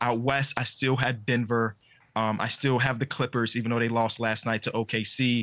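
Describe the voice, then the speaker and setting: At a moderate pace, the voice stays monotone and flat, with very even loudness against a quiet background. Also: man, medium pitch for a man. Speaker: NBA commentator and podcaster; NBA commentator, podcaster. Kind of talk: casual sports talk show chat. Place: home room. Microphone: earbuds.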